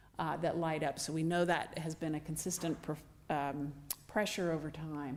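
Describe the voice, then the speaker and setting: A soft-spoken woman with a very deep, low voice speaks at a moderate pace in a flat monotone, with audible room echo. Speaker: anthropologist, ancient DNA researcher. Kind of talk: lecture. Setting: stage with audience.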